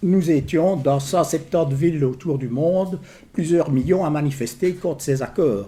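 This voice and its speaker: In a slight Liège accent, a man with a fairly high pitch and a dark, mellow tone speaks at a fairly slow pace with ordinary pitch variation. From Belgium, Liège region. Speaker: trade union official. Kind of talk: public talk. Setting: information day with audience. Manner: hesitant, many fillers.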